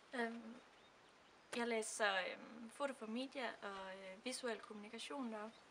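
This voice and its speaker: The speech is very slow. Room echo can be heard. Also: woman, fairly high pitch for a woman, fairly even intonation. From Denmark. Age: 20s. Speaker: student. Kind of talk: testimony. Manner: halting, many fillers.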